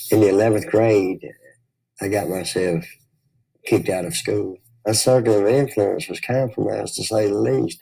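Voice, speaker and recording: A man with a fairly low, somewhat breathy voice and a dark, mellow tone speaks at a moderate pace with long, frequent pauses. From US South, Memphis, Tennessee. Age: 60s. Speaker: recovering addict. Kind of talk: testimony.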